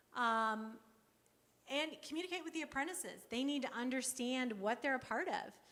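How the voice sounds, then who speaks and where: In a room with audible echo, a woman with a high pitch and a bright, sharp tone speaks with lively intonation at a moderate pace. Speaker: workforce program presenter. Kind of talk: conference presentation.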